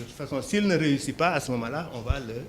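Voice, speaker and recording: The speech has lively intonation, and noticeable background noise runs behind it. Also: man. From Senegal, Dakar. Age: 60s. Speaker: entrepreneur, poultry farmer. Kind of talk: interview. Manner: hesitant fillers (euh).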